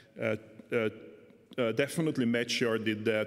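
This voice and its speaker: A man at a medium pitch with a Hungarian accent. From Hungary. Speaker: economist and political scientist; speaker. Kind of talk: academic discussant commentary. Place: hall. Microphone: podium.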